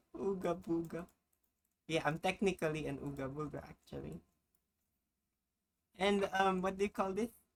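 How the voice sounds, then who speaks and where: Vocal fry runs through speech delivered at a moderate pace with long, frequent pauses. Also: woman, fairly low pitch for a woman, ordinary pitch variation. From Philippines, Baguio/Benguet (northern Luzon mountains). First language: Filipino language (not English). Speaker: streamer. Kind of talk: casual chat. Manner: halting.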